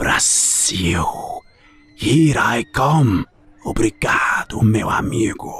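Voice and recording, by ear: In a put-on character voice, a man speaks at a very slow pace with long, frequent pauses, over faint background music and a hiss.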